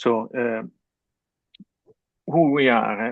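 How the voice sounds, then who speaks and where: A man with an Italian accent talks at a very slow pace, his intonation fairly even. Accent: non-native English, Italian. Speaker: webinar host, business consultant. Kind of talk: business webinar presentation. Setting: online webinar. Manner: halting, many fillers.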